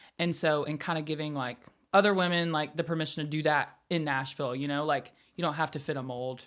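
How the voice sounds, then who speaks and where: Very clean, with a silent background, the recording has a woman talking very fast at a very deep, low pitch with fairly even intonation and a Southern US accent. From US South, Alabama. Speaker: singer-songwriter. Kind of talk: casual chat.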